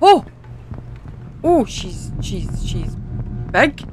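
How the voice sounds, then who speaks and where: In a Scottish accent, the speaker moves at a very slow pace with very wide pitch swings. The sound is dry with no echo, and light background noise is present. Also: woman. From Scotland. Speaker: gaming YouTuber. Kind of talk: gameplay commentary. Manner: animated.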